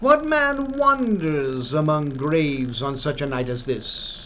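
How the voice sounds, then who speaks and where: A man's put-on character voice at a fairly slow pace, over clear background noise. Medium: read story. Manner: commanding, mocking.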